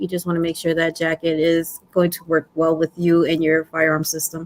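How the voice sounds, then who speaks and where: Someone with a strong Brooklyn accent talks at a fairly quick pace while music plays in the background. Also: woman. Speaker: prepping channel host. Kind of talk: casual livestream talk.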